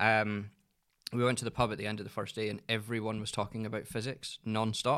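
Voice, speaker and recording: In a Scottish accent, a man speaks with a fairly low pitch and a monotone, flat intonation. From Scotland. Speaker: entrepreneur, agency managing director. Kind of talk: casual chat.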